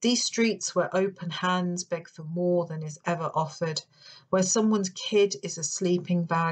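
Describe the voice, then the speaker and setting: Against a quiet background, a woman with a London accent speaks at a moderate pace in a fairly low, somewhat breathy voice, her intonation fairly even but her loudness swinging widely. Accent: non-Yorkshire accent, London. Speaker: poet and creative writing lecturer. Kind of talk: poetry reading with commentary.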